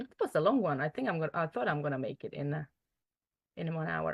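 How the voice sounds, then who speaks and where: A woman with a Slovak accent speaks in a bright, sharp tone, her pitch swinging very widely. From Slovakia. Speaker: mindset coach. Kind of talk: online group training session. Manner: hesitant, filler-heavy.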